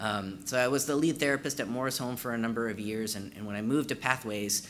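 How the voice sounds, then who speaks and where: At a very fast pace, a man talks in a medium pitch with ordinary pitch variation, and the room echo is audible. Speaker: trainer and former therapist. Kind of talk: conference training presentation. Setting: in-person conference room with audience.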